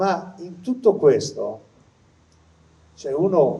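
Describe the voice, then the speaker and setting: A man with a dark, mellow tone speaks with lively intonation. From Liguria, Italy. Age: old. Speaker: retired pediatrician. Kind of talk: testimony.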